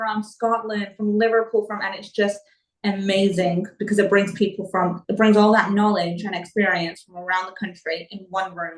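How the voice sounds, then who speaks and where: A normal speaking voice with an American accent moves at a fairly quick pace with fairly even intonation. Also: woman. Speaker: property investor. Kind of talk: interview.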